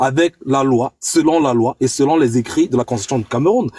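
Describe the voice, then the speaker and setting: Very wide pitch swings run through this voice. It belongs to a man. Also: dry, close sound with no echo. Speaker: political debate participant. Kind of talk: online panel debate.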